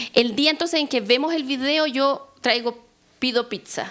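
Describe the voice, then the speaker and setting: Speaking with a Chilean accent, a woman keeps a moderate pace and ordinary pitch variation. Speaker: law professor. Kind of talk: workshop lecture. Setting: workshop with audience.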